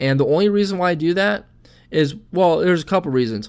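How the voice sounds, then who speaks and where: The speaker is a man with an American accent. The background is quiet. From Michigan. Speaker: internet marketing coach. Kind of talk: webinar presentation. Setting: online webinar. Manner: fast; animated.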